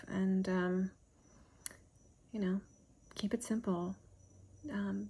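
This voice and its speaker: A woman's voice, somewhat breathy, sits at a medium pitch. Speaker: homeschooling mom vlogger. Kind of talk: casual talk to camera. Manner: halting, many fillers.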